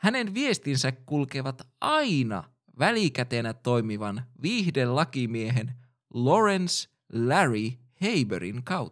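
Very slow and at medium pitch, a man's voice makes very wide pitch swings on a very clean recording with a silent background. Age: 20s. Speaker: podcast host. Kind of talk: scripted narration.

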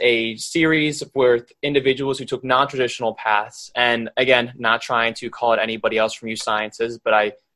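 Medium pitch, moderate pace and fairly even intonation in a man's voice, a normal speaking voice. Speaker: podcast co-host. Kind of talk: podcast interview.

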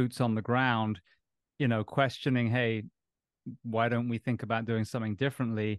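A man speaks at a moderate pace. His intonation stays flat and monotone. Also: quiet background. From Bath, England. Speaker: podcast host and former firefighter. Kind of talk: casual interview chat.

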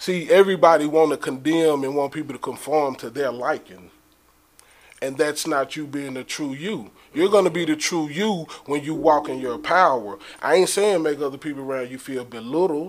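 Speaking with an American accent, a man with a fairly high pitch uses an unremarkable speaking voice, ordinary pitch variation, a moderate pace, and big swings in loudness. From Dallas, Texas. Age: 30s. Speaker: rapper and entrepreneur. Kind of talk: casual chat.

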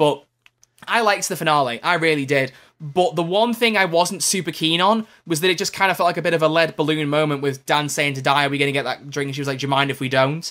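With a slight Scouse accent, a man of fairly high pitch speaks very fast in a bright, sharp tone with ordinary pitch variation, on a very clean recording with a silent background. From Liverpool. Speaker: podcast co-host and YouTuber. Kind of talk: casual banter chat. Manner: joking, playful.

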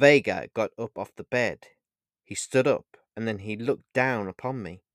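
A natural voice reading aloud, background quiet

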